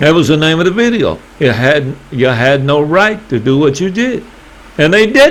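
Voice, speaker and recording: In a Southern US accent, a man talks at a moderate pace in a fairly high voice with very wide pitch swings, over noticeable background noise. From US South. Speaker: YouTuber. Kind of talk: casual vlog monologue.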